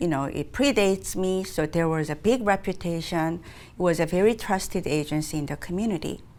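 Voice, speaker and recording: A woman with a Korean accent speaks at a fairly quick pace in a fairly low pitch, with ordinary pitch variation, in a very clean recording with a silent background. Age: 60s. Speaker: nonprofit executive director. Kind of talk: interview.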